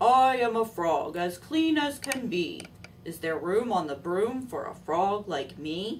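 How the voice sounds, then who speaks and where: A woman in a croaky, put-on character voice of medium pitch at a fairly slow pace, with clear background noise. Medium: read story.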